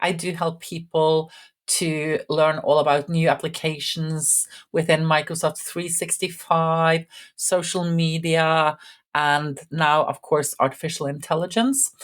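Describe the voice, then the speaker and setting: With a Norwegian accent, a woman of fairly low pitch speaks in a calm tone at a fairly slow pace with fairly even intonation, in a very clean recording with a silent background. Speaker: IT instructor. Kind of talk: channel introduction.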